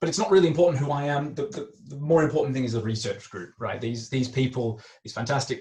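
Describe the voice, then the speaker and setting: Over audible room echo, a man with an Australian accent talks very fast in a fairly high, somewhat breathy voice with a dark, mellow tone and big swings in loudness. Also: ordinary pitch variation, hardly any pauses. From Australia, Melbourne. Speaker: chemistry academic. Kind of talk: lecture. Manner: hesitant, many fillers.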